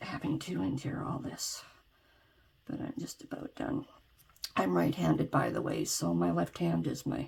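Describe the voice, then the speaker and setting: Soft-spoken delivery with long, frequent pauses against noticeable background noise. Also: woman, moderate pace. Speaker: ASMR creator. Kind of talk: DIY tutorial narration, soft-spoken ASMR talk to camera. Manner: soft, quiet.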